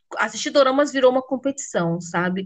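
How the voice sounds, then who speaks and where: Her intonation is lively as the woman talks in a high pitch. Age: 30s. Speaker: podcast host. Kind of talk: casual chat.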